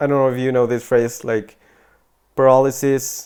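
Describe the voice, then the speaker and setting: The speaker talks with a Spanish accent in monotone, flat intonation. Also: man. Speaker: podcast host. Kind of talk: casual podcast chat. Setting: at a boarding school in England.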